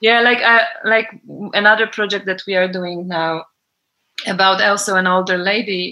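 A woman with a Polish accent, medium pitch and a bright, sharp tone, at a moderate pace with fairly even intonation. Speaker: film producer. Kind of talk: interview. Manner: halting.

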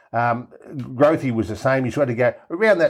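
With an Australian accent, a man speaks over a quiet background. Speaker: rugby league pundit. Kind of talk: casual chat.

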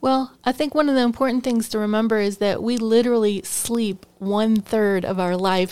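This woman has an ordinary speaking voice with a fairly high pitch. She keeps a moderate pace and fairly even intonation. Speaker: ministry school founder, teacher. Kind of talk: casual interview.

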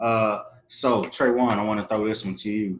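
At a moderate pace, a man talks with a fairly low pitch and an ordinary speaking voice. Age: 30s. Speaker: podcast host. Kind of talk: podcast interview.

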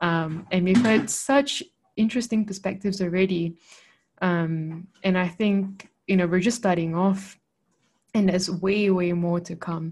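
Somewhat breathy, a woman's medium-pitched voice with fairly even intonation. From Malaysia. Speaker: podcast co-host. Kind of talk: casual chat.

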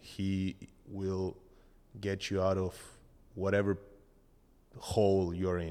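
The recording is very clean with a silent background. A speaker with a Spanish accent talks at a very slow pace in monotone, flat intonation. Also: man. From Argentina. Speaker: podcast co-host. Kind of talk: casual chat.

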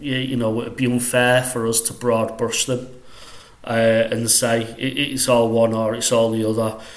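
A man with a Mancunian accent speaks fairly slowly in a flat monotone. Room echo is audible. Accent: northwest English (Mancunian). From northwest England, Salford near Manchester. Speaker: quantity surveyor, consultancy director. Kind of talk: casual interview. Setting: studio.

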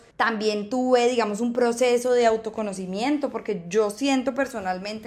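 Fairly high female voice, pitch moving in an ordinary way. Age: 20s. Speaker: podcast host. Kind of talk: motivational monologue. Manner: animated.

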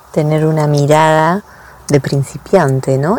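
Her pitch is very deep and low as this woman talks at a fairly slow pace. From Buenos Aires, Argentina. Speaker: podcast co-host, health coach. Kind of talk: casual chat.

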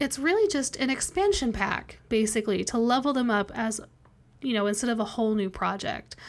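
In an unremarkable speaking voice, a woman talks at a fairly quick pace with a fairly high pitch and ordinary pitch variation. The recording is very clean, with a silent background. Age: 30s. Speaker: podcast host and web developer. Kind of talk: casual solo podcast talk.

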